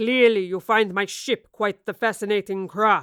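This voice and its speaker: In a put-on character voice that sounds female, the speaker talks at a moderate pace and a medium pitch for a woman. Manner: mocking.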